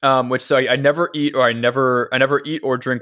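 Here is a man with a plain, everyday voice. He talks at a fairly quick pace with fairly even intonation. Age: 20s. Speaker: podcast co-host, runner. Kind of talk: casual chat.

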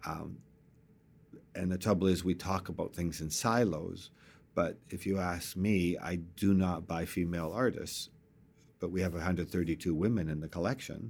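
On a very clean recording with a silent background, a man with a very deep, low pitch talks at a moderate pace with fairly even intonation. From East Vancouver, Canada. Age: 60s. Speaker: real estate entrepreneur and art collector. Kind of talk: casual interview conversation.

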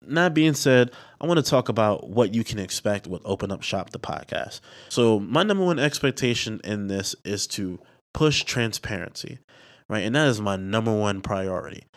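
A man with an American accent has an ordinary speaking voice, a medium pitch and a moderate pace. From Bronx, New York City. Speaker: entrepreneur podcast host. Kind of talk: podcast trailer monologue. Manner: casual, conversational with filler words.

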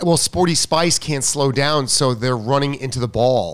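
A man with a fairly high pitch and ordinary pitch variation talks in a plain, everyday voice. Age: 50s. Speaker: tennis coach. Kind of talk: casual chat.

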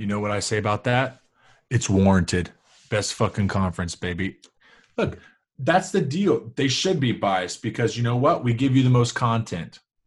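Somewhat breathy and medium in pitch, a man speaks at a moderate pace with lively intonation against a quiet background. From Georgia, US South. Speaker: sports podcast co-host. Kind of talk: casual chat. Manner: animated.

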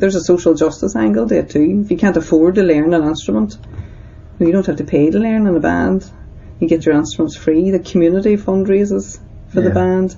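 Lively intonation from a woman with a Northern Irish accent and a fairly low pitch. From Northern Ireland. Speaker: community centre director. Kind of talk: interview testimony.

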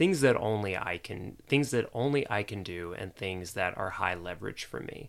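A man with an American accent speaks in an unremarkable speaking voice, fairly low in pitch, at a moderate pace with hardly any pauses, his loudness swinging widely and his intonation lively. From US South, Jacksonville, Florida. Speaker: productivity teacher. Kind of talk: casual interview.

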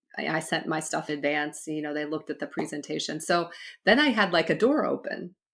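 The woman's talk moves fairly quickly on a very clean recording with a silent background. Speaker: author and leadership coach. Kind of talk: casual interview chat.

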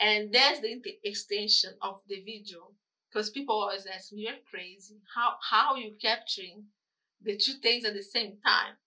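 Speaking at a moderate pace with big swings in loudness, a woman with a Brazilian accent has a fairly high pitch, a bright, sharp tone and fairly even intonation. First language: Portuguese. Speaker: photographer and videographer. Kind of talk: casual interview. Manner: halting.

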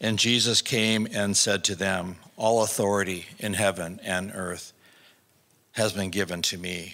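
A bright, sharp tone at a fairly slow pace, with fairly even intonation. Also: man, low pitch for a man.

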